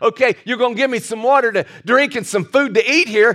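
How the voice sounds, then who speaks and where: A man's animated voice at an extremely high pitch, moderate pace, ordinary pitch variation. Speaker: preacher. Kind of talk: sermon. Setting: church. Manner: animated, urgent pulpit delivery; direct, exhorting the congregation.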